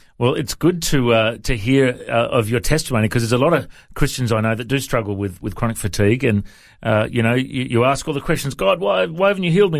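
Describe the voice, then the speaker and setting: A man with a plain, everyday voice talks at a fairly quick pace, medium in pitch and lively in intonation. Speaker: radio host. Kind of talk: casual interview. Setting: studio.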